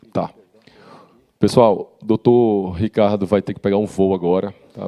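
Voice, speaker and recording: His intonation is monotone and flat. The man keeps a moderate pace. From Rio Grande do Norte, Brazil. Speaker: panel moderator. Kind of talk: panel moderation.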